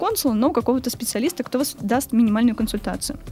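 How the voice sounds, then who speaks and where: A woman talks at a very fast pace in a fairly high voice, with ordinary pitch variation. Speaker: language teacher and translator, medievalist student. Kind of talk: casual interview.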